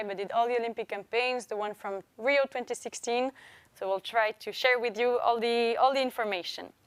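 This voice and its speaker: On a very clean recording with a silent background, a woman with a French accent talks at a moderate pace in a fairly high voice with ordinary pitch variation. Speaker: press conference moderator. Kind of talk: press conference. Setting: live-streamed press conference.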